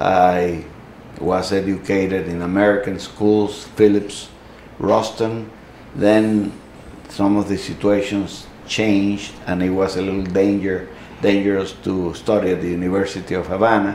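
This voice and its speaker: The speech comes at a fairly slow pace with monotone, flat intonation, along with noticeable background noise and audible room echo. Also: man, fairly low pitch for a man. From Cuba. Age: 70s. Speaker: Cuban exile, newspaper editor. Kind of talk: interview. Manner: halting, many fillers.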